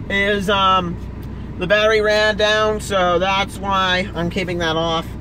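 At a fairly slow pace, a man talks in a raised, projected voice with fairly even intonation, the sound dry with no echo and noticeable background noise behind him. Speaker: vlogger. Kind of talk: casual vlog chat. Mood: annoyed, swearing. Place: car. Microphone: phone near.

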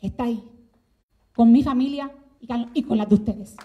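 A woman speaks in a high voice with a dark, mellow tone. Her pitch varies in an ordinary way, and her pace is fairly slow. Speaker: legislator. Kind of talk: formal speech. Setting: legislative chamber with audience.

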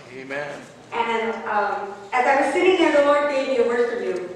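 Strong room echo surrounds a woman's high voice. She speaks at a fairly slow pace, her pitch swinging very widely. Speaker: minister. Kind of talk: sermon. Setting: church. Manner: animated. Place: church.

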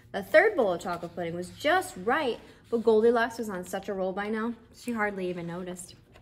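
It's a natural reading voice. The pitch varies in an ordinary way.

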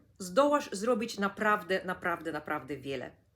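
A woman speaks at a moderate pace. Her tone is bright, sharp and animated. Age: 50s. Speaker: energy coach and neurographics instructor. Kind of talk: vlog monologue.

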